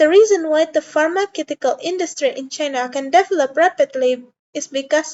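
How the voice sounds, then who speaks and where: The speaker has a non-native accent and a moderate pace. Pitch variation is ordinary. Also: woman. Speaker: student. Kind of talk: class presentation. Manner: halting, with self-corrections.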